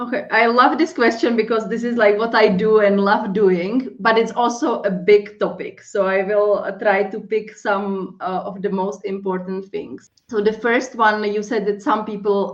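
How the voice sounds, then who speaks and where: A woman with a strong non-native accent, fairly even intonation and a fairly slow pace. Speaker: life and accountability coach. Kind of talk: interview.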